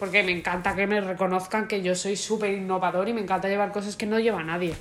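Audible room echo carries a woman's voice. She talks at a fairly quick pace with monotone, flat intonation. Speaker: podcast co-host. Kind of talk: casual chat.

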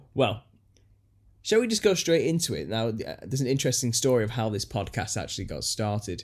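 With an unremarkable speaking voice, a man at medium pitch talks at a fairly quick pace with lively intonation on a very clean recording with a silent background. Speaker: podcast host and conspiracy YouTuber. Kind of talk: casual chat. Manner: jokey, self-deprecating.

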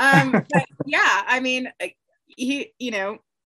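A woman speaks in a raised, projected voice at a high pitch. Her pace is fairly slow, and the sound is dry and close with no echo. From Alaska. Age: 30s. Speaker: reality TV yacht crew member. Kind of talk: casual interview.

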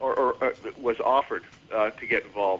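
A man speaks at a fairly quick pace in a medium pitch, his tone bright and sharp. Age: 40s. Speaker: memorial foundation chair. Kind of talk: radio interview. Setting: phone call.

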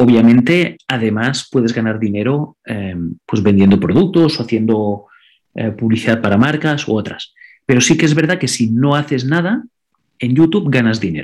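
A man with a Catalan accent talks at a moderate pace, his medium pitch carried by lively intonation. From Andorra. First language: Catalan (speaking Spanish). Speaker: digital marketing consultant and content creator. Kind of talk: interview. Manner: frequent word repetitions.

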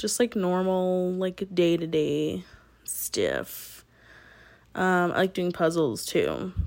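With an American accent, a woman speaks at a very slow pace with long, frequent pauses, on a very clean recording with a silent background. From military upbringing, partly New York. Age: 20s. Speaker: podcast host. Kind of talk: casual monologue.

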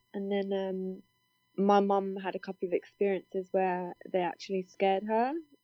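In a British accent, a woman speaks at a medium pitch and a moderate pace with a monotone, flat intonation. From UK. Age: 20s. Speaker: paranormal investigator. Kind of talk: interview.

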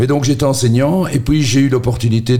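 Somewhat breathy, a man talks at a fairly quick pace in a dark, mellow tone. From Belgium, Charleroi (Marchienne). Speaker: radio host. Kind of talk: casual interview.

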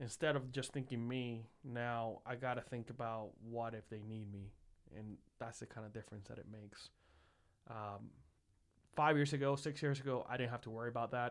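A man with a slight Puerto Rican accent talks at a moderate pace and a medium pitch. His intonation stays fairly even, but his loudness swings widely. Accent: light Puerto Rican Spanish-accented English. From Puerto Rico (San Juan). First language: Spanish. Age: 30s. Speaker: engineer. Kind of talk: casual chat.

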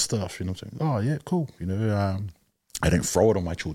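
Speaking at a very fast pace, a man has a fairly low pitch and a dark, mellow tone. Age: 40s. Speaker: father speaking about parenting and culture. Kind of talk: casual chat. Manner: halting, many fillers.

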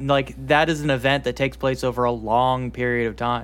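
A man talks at a moderate pace and medium pitch. It is an ordinary speaking voice. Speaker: podcast host. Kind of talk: casual comedic banter.

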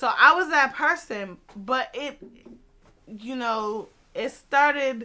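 A woman's raised, projected voice, high-pitched and bright and sharp, with lively intonation, big swings in loudness, a very slow pace and long, frequent pauses. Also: quiet background. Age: 20s. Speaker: podcast host. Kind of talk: casual banter chat. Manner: animated.

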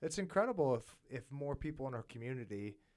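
A man speaks at a fairly quick pace with a medium pitch and lively intonation. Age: 40s. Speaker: podcast host. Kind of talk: interview. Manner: hesitant, many fillers.

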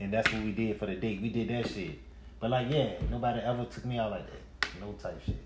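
A man at medium pitch with fairly even intonation and a fairly quick pace, amid noticeable background noise and audible room echo. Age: 40s. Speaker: podcast co-host. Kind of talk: casual chat. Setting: live stream.

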